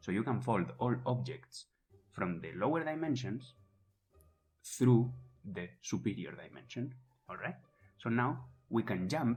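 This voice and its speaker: A man with a non-native accent speaks at a medium pitch, with vocal fry and long, frequent pauses. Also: ordinary pitch variation, fairly slow pace. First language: not English. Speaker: podcast co-host. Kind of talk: casual explanatory chat.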